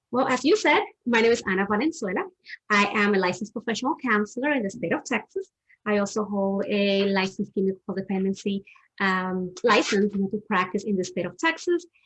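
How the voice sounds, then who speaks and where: A woman with a strong Dominican accent speaks at a fairly quick pace, medium in pitch, with ordinary pitch variation. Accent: heavy Dominican Spanish. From Dominican Republic. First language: Spanish. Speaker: therapist. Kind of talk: interview on a live stream. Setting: live stream.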